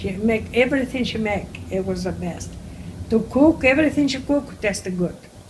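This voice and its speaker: In a Greek accent, a woman talks at a moderate pace with ordinary pitch variation. Noticeable background noise can be heard. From Crete, Greece. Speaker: elderly immigrant interviewee. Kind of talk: oral history interview. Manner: halting.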